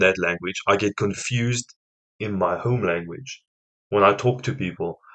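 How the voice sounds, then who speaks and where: A man with a South African accent talks at a moderate pace with ordinary pitch variation. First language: Afrikaans. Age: 20s. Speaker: reaction youtuber. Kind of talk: casual reaction commentary.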